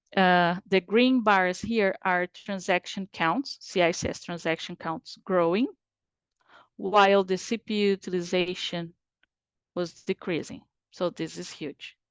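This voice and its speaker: Fairly slow speech from a woman in a Portuguese accent, medium pitch and ordinary pitch variation, dry and close with no echo against a quiet background. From Brazil. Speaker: IT performance and capacity specialist. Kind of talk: webinar presentation. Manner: halting, many fillers.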